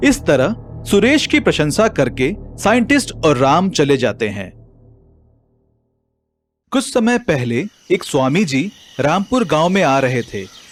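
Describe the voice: A man's fairly high-pitched voice at a fairly slow pace, with big swings in pitch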